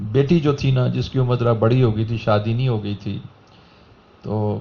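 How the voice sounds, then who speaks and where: In an ordinary speaking voice, a man talks at a medium pitch with fairly even intonation. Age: 60s. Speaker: religious speaker. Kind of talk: sermon.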